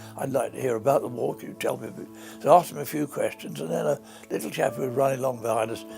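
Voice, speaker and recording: A man talks at a very fast pace, his loudness swinging widely. Music plays behind him. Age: 80s+. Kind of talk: interview answer.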